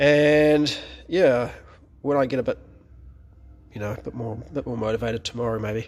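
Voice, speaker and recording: Showing vocal fry, a man speaks at a moderate pace with a medium pitch and fairly even intonation. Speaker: classic car restorer. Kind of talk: casual talk to camera. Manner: rambling, relaxed.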